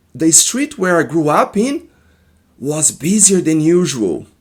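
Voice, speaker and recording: Speaking at a very slow pace, a man with a Brazilian accent uses a high pitch and lively intonation. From Brazil, Minas Gerais. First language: Portuguese. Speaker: therapist. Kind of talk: personal testimony. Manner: halting.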